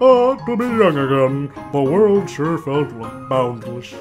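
A put-on character voice at a low-to-middle pitch and a fairly slow pace, with music in the background. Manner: wistful, theatrical.

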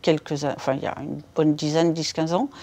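Speaking at a moderate pace, a woman has a fairly low pitch. Her tone is dark and mellow. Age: 60s. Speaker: patient with polycystic kidney disease. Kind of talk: casual chat, patient testimony. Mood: calm, reflective. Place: home room.

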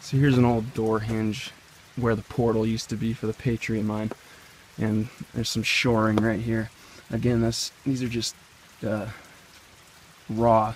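Speaking at a moderate pace in a monotone, flat intonation, a man leaves long, frequent pauses, with a dry sound, no echo and light background noise. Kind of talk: casual exploration commentary. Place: forest. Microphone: phone near.

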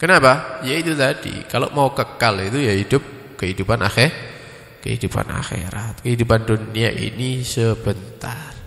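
A man speaks at a moderate pace in a medium pitch with ordinary pitch variation. Audible room echo surrounds the voice. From East Java, Indonesia. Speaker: Islamic preacher. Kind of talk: religious study lecture. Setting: mosque study gathering after dawn prayer. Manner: casual, mixing Javanese and Indonesian. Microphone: handheld.

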